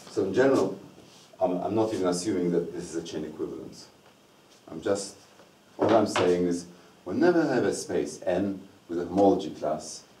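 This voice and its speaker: A man with a very deep, low pitch and ordinary pitch variation talks at a fairly quick pace, with long, frequent pauses. Audible room echo and noticeable background noise are present. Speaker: mathematics lecturer. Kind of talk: lecture.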